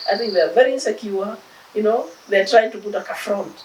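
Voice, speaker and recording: A woman with a Kenyan accent, fairly high in pitch, at a fairly quick pace amid noticeable background noise. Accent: Kenyan accent, kept. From Kenya, Nairobi. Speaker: philanthropist, charity founder. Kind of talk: interview.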